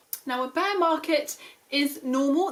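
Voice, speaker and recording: A woman with a British accent speaks with ordinary pitch variation amid noticeable background noise. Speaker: finance YouTuber. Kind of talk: tutorial. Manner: fast; casual with fillers.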